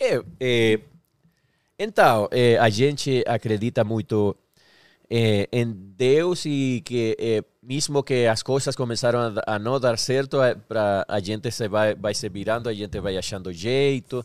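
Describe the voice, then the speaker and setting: Very slowly, a man speaks with a Spanish accent in a very clean recording with a silent background and a dry, close sound free of echo. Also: medium pitch for a man, ordinary pitch variation. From Venezuela. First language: Spanish (speaking Portuguese). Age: 40s. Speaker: singer-songwriter. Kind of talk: casual chat.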